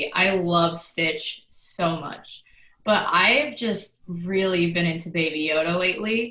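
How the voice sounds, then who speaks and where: A woman with an American accent speaks at a very slow pace. Background noise is noticeable. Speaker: social media manager, new team member. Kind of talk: casual chat.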